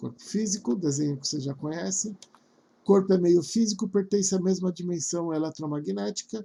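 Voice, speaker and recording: A man at a moderate pace, high-pitched, with a dark, mellow tone. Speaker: spiritual course teacher. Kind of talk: lecture.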